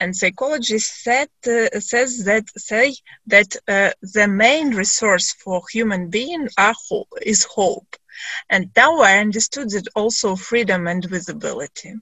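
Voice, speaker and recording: The speaker has a Ukrainian accent and a fairly slow pace. Pitch varies in an ordinary way. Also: woman, fairly high pitch for a woman. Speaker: discussion moderator. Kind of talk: panel discussion moderation. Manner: halting.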